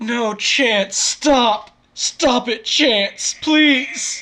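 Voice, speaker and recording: A woman performs a put-on character voice. She pitches it high. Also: ordinary pitch variation. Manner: pleading, desperate.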